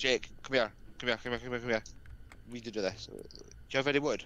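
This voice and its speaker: A man speaks at a very fast pace with vocal fry and fairly even intonation, broken by long, frequent pauses. The sound is dry with no echo. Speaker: gamer; streamer. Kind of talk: casual chat. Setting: online voice chat. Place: home room. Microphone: headset.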